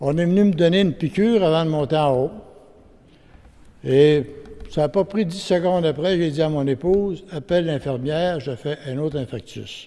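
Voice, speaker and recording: Speaking at a moderate pace with long, frequent pauses, a man with a Quebec accent uses a fairly high pitch and ordinary pitch variation. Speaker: witness giving testimony. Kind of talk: testimony; reading aloud.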